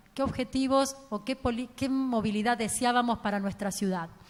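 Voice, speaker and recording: A woman's normal speaking voice, fairly high in pitch, with fairly even intonation. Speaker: transport engineer and professor. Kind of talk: conference talk.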